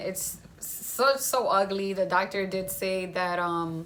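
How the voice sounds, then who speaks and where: A woman speaks at a fairly slow pace and a medium pitch, with audible echo in the room. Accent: Spanish. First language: Spanish. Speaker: vlogger sharing cancer journey. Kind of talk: casual video update. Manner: casual, rambling.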